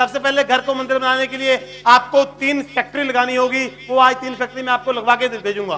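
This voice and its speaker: A man with a Punjabi accent uses a raised, projected voice at an extremely high pitch. Noticeable background noise runs underneath. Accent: Punjabi-accented Hindi. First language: Punjabi (speaking Hindi). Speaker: spiritual teacher. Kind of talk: sermon.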